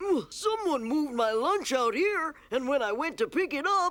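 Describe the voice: A cartoonish character voice, high in pitch, at a moderate pace.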